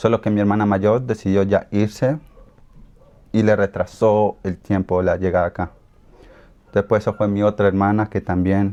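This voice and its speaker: A man's fairly low, dark, mellow voice at a moderate pace, with monotone, flat intonation and long, frequent pauses. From Colombia, raised in Ecuador. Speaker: interviewee. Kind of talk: interview. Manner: halting.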